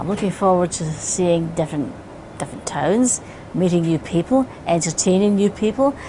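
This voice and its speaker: A woman with a Scottish accent, fairly low in pitch, with lively intonation at a moderate pace over noticeable background noise. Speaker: singer. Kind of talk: interview answer.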